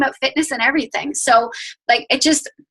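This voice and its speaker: A woman's raised, projected voice in a dry, close sound with no echo. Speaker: network marketing coach. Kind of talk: team training call. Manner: fast; animated.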